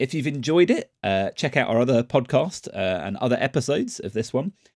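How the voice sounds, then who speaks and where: A man speaks with lively intonation in a normal speaking voice. The sound is dry and close with no echo, on a very clean recording with a silent background. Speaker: podcast host. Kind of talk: interview chat.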